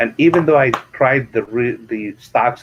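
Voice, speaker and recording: A man's medium-pitched voice with an Arabic accent and ordinary pitch variation. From Kuwait. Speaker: real estate investor and author. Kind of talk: interview. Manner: animated.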